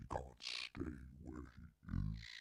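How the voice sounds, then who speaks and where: A man's very deep, low growl in a put-on character voice. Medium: game stream. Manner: scornful.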